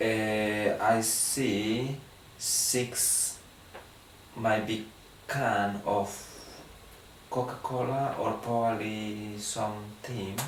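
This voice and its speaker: A man speaks at a very slow pace in a monotone, flat intonation, with long, frequent pauses. Noticeable background noise and audible room echo fill the recording. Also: fairly low pitch for a man. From Guatemala. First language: Spanish. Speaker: language test candidate. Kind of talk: language test interview. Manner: halting, with hesitations.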